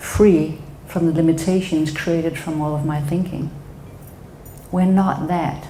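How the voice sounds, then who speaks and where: A woman with a Danish accent speaks at a fairly slow pace in a fairly low, flat monotone, with audible room echo and noticeable background noise. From Denmark. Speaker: psychotherapist. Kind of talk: talk to an audience.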